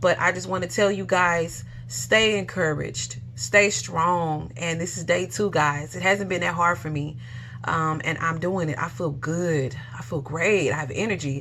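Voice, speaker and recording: The speaker talks at a fairly slow pace with lively intonation, and audible room echo surrounds the voice. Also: woman, very deep, low pitch for a woman. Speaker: vlogger sharing detox journey. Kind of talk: casual personal testimony. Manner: stuttering, halting.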